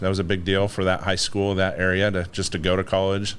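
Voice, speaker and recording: Audible room echo surrounds a man speaking at a very fast pace in a very deep, low pitch. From northern Idaho, childhood partly in Philippines and Japan. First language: Tagalog. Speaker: business executive, navy veteran. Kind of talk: podcast interview.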